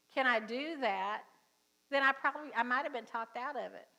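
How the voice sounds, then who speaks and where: A bright, sharp tone with a Southern US accent. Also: woman. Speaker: pastor. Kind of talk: sermon. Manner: casual, conversational.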